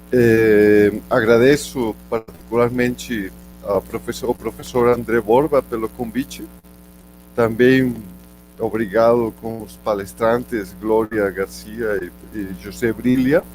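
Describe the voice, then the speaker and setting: Speaking with a Spanish accent at a very slow pace, the man has a medium pitch and fairly even intonation. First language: Spanish (speaking Portuguese). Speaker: geology professor. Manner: halting, many fillers.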